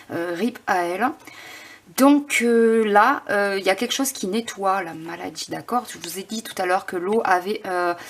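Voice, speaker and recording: Fairly slow speech from a woman at a medium pitch, noticeable background noise behind it. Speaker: tarot card reader. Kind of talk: tarot reading. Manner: halting.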